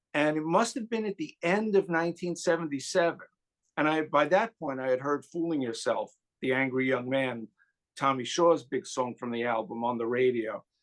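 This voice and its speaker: Lively intonation marks this man's fairly high-pitched voice, delivered at a moderate pace. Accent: New York. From New York. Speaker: music YouTuber guest. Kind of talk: casual chat.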